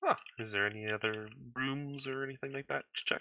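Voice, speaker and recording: Someone uses a put-on character voice at a low-to-middle pitch, going at a fairly quick pace. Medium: actual play.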